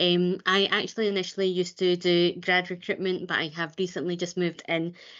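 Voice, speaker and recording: A woman with a fairly low pitch talks at a fairly quick pace in a monotone, flat intonation, her loudness very even. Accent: Glasgow. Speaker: recruitment advisor. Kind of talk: webinar presentation. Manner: fast.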